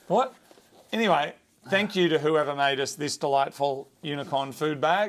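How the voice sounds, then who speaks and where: A man with an Australian accent speaks at a moderate pace. His fairly high pitch shows ordinary pitch variation. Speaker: automotive YouTube show co-host. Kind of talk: casual chat. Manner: high-pitched today.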